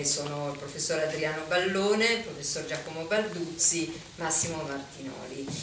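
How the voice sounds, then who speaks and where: A woman with a very deep, low pitch talks at a moderate pace with ordinary pitch variation, over light background noise and audible room echo. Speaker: journalist and moderator. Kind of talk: moderated panel. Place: hall.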